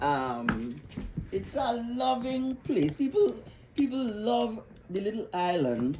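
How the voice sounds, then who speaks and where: In a Trinidadian accent, a woman speaks at a very slow pace with long, frequent pauses amid noticeable background noise. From Trinidad and Tobago (Tobago). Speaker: retired psychiatric nurse. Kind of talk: casual interview chat. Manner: halting, repetitive starts.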